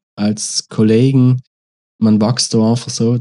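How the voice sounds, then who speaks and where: With a South Tyrolean accent, a man speaks at a fairly slow pace in a medium pitch with a dark, mellow tone and fairly even intonation, the sound dry and close with no echo. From South Tyrol, Italy. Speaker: rapper. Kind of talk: casual interview.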